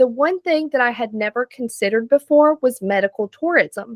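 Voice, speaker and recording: In a dry, close recording with no echo, a woman talks with a Southern US accent. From US South, North Carolina. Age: 30s. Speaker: patient giving testimonial. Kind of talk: testimony.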